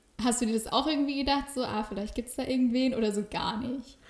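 Fairly even intonation in a woman's somewhat breathy speech. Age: 20s. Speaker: podcast host. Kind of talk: casual interview chat. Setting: visiting the guest at her home.

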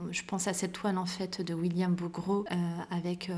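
A woman's somewhat breathy voice at medium pitch, with monotone, flat intonation. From Paris suburbs (Val-de-Marne), born in Morocco. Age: 30s. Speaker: art historian and curator. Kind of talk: interview conversation.

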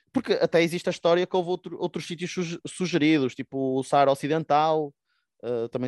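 A man's voice, fairly high in pitch with ordinary variation. The recording is very clean and dry, close with no echo and a silent background. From Portugal, Porto. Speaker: podcast co-host. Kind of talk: casual discussion of current affairs.

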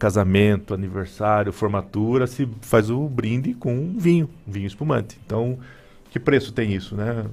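His voice is a plain, everyday voice with lively intonation. The man keeps a medium pitch and a moderate pace. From Paraná, Brazil. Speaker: wine businessman. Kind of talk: radio interview.

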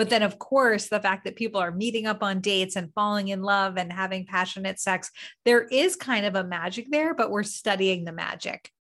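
Against a quiet background, a woman with a plain, everyday voice and medium pitch talks at a fairly quick pace with hardly any pauses and ordinary pitch variation. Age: 30s. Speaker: behavioral scientist and dating coach. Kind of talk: casual interview.

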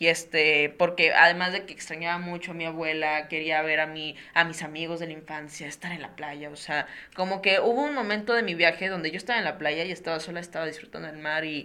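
Amid noticeable background noise, a woman speaks at a fairly quick pace in a fairly low voice, her intonation fairly even but her loudness swinging widely. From Mexico, Tampico, Tamaulipas. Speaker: podcast host. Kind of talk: casual interview.

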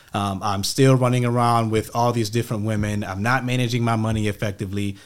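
A normal speaking voice from a man with an American accent, fairly low pitch and fairly even intonation. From Rochester, New York. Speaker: life coach. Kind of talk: casual interview.

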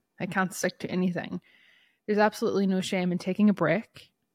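Talking at a fairly quick pace, a woman with a medium pitch sounds animated, recorded dry and close with no echo. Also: very clean recording, silent background. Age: 30s. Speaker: podcast host. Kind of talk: casual solo monologue. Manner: animated, laughing often.

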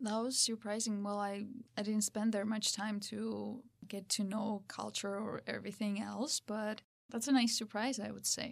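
Speaking at a moderate pace with a Georgian accent, a woman uses a fairly high pitch and a monotone, flat intonation. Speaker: podcast guest. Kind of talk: casual chat.

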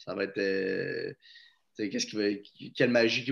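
Against a quiet background, a man with a Quebec accent talks at a medium pitch. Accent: Québécois French. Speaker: podcast co-host. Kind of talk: casual sports chat.

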